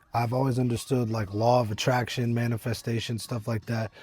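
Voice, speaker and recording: A man speaks at medium pitch over music in the background. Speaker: business coach. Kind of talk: motivational talk to camera. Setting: outdoors at a winery.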